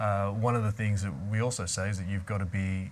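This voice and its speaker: Very fast and monotone with flat intonation, a man speaks somewhat breathily at a fairly low pitch in an Australian accent. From Australia, Melbourne (Yarra Valley). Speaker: real estate marketing director. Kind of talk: casual chat.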